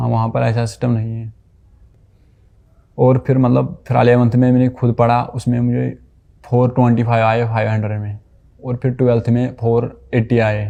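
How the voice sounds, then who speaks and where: A man with a medium pitch, dark, mellow tone and monotone, flat intonation. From Kashmir. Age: young. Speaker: painter and labourer, medical entrance exam candidate. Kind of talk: interview answer.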